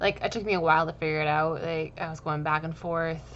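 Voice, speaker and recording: A woman mumbles her words. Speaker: gaming YouTuber. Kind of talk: game commentary voiceover. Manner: fast; mumbling.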